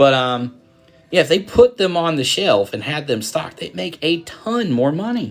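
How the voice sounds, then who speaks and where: Music plays in the background as a man with a Southern US accent talks at a moderate pace in an animated tone, his pitch swinging very widely. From US South. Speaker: card break streamer. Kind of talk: live stream chat. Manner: casual, animated.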